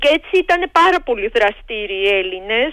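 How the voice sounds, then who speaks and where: With a Georgian accent, a woman speaks at a fairly slow pace, her pitch swinging very widely. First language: Georgian (speaking Greek). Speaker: history professor. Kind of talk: radio interview.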